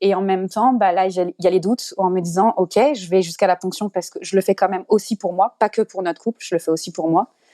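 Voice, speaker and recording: A woman at medium pitch with a dark, mellow tone, very fast pace, fairly even intonation and hardly any pauses. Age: 30s. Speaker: podcast guest. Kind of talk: personal testimony. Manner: halting.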